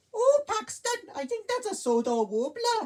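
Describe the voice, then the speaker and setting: This is a put-on character voice. Its pitch is extremely high. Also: moderate pace. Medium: read story. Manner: polite, friendly.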